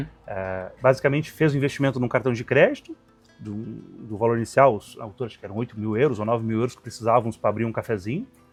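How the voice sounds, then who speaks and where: A man's medium-pitched voice at a very fast pace with ordinary pitch variation, music in the background. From Rio Grande do Sul, Brazil. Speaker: restaurant owner, barbecue cook. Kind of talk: interview answer.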